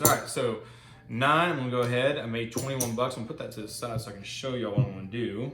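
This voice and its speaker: A man's medium-pitched voice with audible room echo and music in the background. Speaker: gambling video host. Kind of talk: casual commentary while playing craps. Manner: fast; animated.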